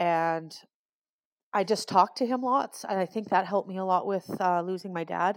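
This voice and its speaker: A woman with a Canadian accent speaks at a fairly quick pace and a fairly low pitch, in an ordinary speaking voice. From Alberta, Canada. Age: 40s. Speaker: grieving guest. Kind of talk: personal testimony.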